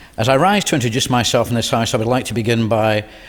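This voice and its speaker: Intonation stays fairly even. The delivery is very fast. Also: man. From Scotland, Glasgow. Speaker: politician. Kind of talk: inaugural parliamentary speech. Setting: parliament chamber. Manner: formal.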